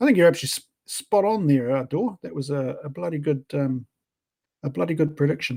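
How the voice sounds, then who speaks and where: The voice is somewhat breathy, with a dark, mellow tone. It moves at a fairly quick pace with lively intonation. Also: man, fairly high pitch for a man. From Australia. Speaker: podcast co-host. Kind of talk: casual chat.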